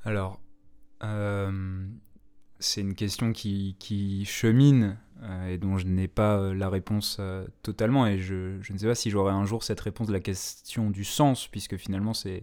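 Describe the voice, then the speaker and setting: The recording is very clean, with a silent background. A man with a fairly low pitch and a dark, mellow tone speaks fairly slowly in a flat monotone. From Paris. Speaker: radio host. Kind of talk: casual chat.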